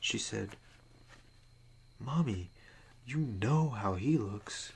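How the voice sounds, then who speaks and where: The voice is a soft-spoken, somewhat breathy whisper. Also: man. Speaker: ASMR creator. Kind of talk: spooky story reading with casual commentary. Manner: soft-spoken, whispering.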